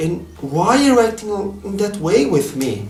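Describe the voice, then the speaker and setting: A man speaks in a Brazilian accent against noticeable background noise. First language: Portuguese. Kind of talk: casual vlog talk to camera.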